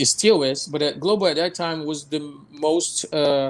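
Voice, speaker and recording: Fairly slow speech in a Portuguese accent, with ordinary pitch variation. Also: man. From Brazil, Rio de Janeiro. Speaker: film director. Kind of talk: interview. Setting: live online show. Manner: halting, many repetitions.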